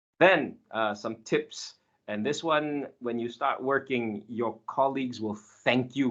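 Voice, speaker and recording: Lively in intonation, a man at medium pitch speaks at a fairly slow pace. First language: not Finnish; learning Finnish. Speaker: software engineer giving guest lecture. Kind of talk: lecture. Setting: online session.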